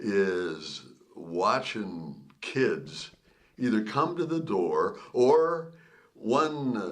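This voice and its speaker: Very slow speech with very wide pitch swings comes through noticeable background noise and audible room echo. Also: man, medium pitch for a man. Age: 70s. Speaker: podcast co-host. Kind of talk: casual chat.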